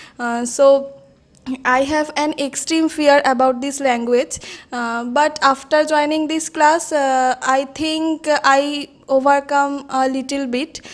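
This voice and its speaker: Very slowly and in a monotone, flat intonation, a woman with a Bengali accent speaks at a high pitch. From India, Hooghly, West Bengal. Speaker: English learner. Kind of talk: group discussion practice. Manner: very hesitant, many fillers.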